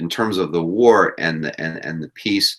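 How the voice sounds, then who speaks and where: With an American accent, a man with a very deep, low pitch talks at a fairly slow pace and with ordinary pitch variation. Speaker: history teacher. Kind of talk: live review session. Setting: live video stream.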